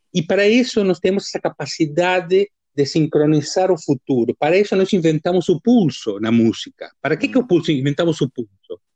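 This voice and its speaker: Lively intonation from a man with a Spanish accent and a high pitch, at a moderate pace with hardly any pauses. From Argentina (Dolores, Buenos Aires province). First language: Spanish (speaking Portuguese). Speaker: musician and music professor. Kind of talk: casual interview.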